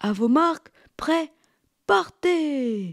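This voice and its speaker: Someone performs a put-on character voice. It sits high in pitch. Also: female-sounding voice. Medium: read story. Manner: warm, jovial.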